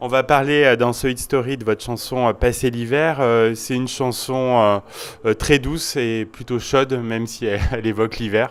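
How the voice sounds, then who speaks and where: In a plain, everyday voice, a man speaks at a moderate pace with medium pitch and fairly even intonation. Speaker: radio host. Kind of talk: interview questions.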